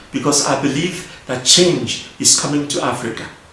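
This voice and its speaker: Noticeable background noise behind a man speaking at a moderate pace and a fairly high pitch. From Nigeria. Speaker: politician. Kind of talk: video address to an audience.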